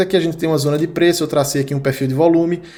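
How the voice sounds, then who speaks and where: This man speaks at a high pitch. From Brazilian Northeast. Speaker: crypto trading analyst. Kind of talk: market analysis video. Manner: casual, conversational.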